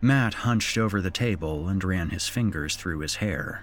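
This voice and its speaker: Over music in the background, a man speaks at a moderate pace with a very deep, low pitch. His intonation is lively. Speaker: horror podcast host and story narrator. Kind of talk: spooky horror story narration read aloud. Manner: theatrical, voicing characters' dialogue; suspenseful, measured storytelling pace.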